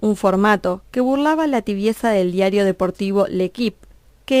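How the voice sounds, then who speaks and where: An unremarkable speaking voice moves at a moderate pace with ordinary pitch variation, heard in a dry, close sound with no echo. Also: woman. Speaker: radio documentary narrator. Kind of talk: documentary narration.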